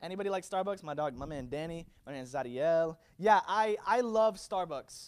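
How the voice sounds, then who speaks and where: A man talks at a moderate pace, his intonation lively, on a very clean recording with a silent background. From US, Virginia-born, Puerto Rican family. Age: 20s. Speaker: youth pastor. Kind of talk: high-energy youth sermon with call-and-response. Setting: stage with live audience. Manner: animated, hyping the crowd with repeated calls for amens; stammering, filler-heavy delivery full of ums and repeated words.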